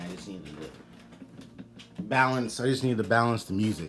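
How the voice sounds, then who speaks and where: A man speaks with lively intonation. His pitch sits fairly low. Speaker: gaming streamer. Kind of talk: casual chat. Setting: live stream.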